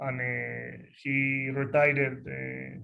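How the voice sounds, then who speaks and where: The room echo is audible as a man talks with a fairly high pitch. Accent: Spanish. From northern Spain, Asturias. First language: Spanish. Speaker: football coach. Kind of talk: lecture. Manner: halting, many fillers.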